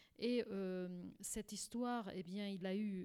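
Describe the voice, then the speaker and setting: Here a woman talks at a medium pitch. Her pace is very slow. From Portugal. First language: Portuguese (speaking French). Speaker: court interpreter and translator. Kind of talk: radio interview. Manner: halting, many repetitions.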